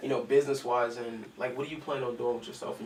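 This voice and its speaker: A man with an American accent speaks very fast at a medium pitch. Noticeable background noise and audible room echo fill the recording. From US South. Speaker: interview show host. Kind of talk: interview.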